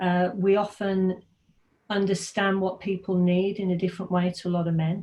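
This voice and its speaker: A dark, mellow, somewhat breathy voice with an English accent, monotone and flat, at a moderate pace. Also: woman, medium pitch for a woman. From English Midlands, Birmingham. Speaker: technology consultant. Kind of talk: casual talk to students over a call. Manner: hesitant, many fillers.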